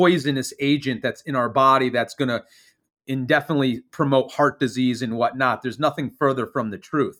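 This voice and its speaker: Speaking at a moderate pace, a man with an unremarkable speaking voice keeps a medium pitch and fairly even intonation. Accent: American. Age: 40s. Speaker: naturopathic physician. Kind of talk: interview.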